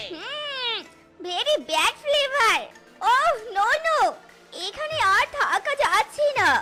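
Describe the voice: A woman uses a cartoonish character voice at an extremely high pitch, with very wide pitch swings. She goes at a fairly slow pace over faint music in the background.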